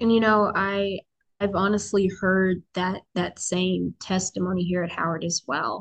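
A woman with an American accent, an unremarkable speaking voice, medium in pitch, with fairly even intonation and a fairly slow pace. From US military family, grew up in several places, settled in DC area. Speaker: university student. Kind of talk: casual chat.

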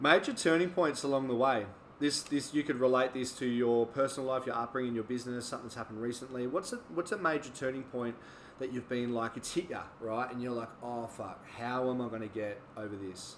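A man at a medium pitch, with ordinary pitch variation and a fairly quick pace. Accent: Australian. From Australia. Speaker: podcast host and personal trainer. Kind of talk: casual interview chat.

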